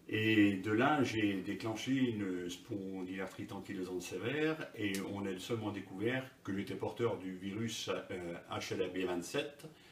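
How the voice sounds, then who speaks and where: A man's fairly low pitch at a fairly slow pace, amid noticeable background noise. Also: ordinary pitch variation. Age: 60s. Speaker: patient giving testimony. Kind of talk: interview testimony. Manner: halting, many hesitations.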